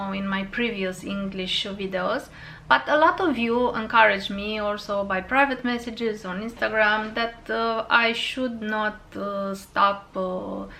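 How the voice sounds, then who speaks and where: Through audible room echo, a woman with a Romanian accent talks at a fairly slow pace in a fairly high voice with a bright, sharp tone and ordinary pitch variation. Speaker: fragrance YouTuber. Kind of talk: casual vlog talk to camera. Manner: halting, many fillers.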